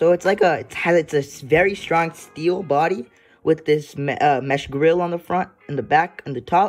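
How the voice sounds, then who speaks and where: Faint music plays in the background as the speaker goes at a moderate pace. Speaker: unboxing vlogger. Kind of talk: casual unboxing commentary. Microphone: phone near.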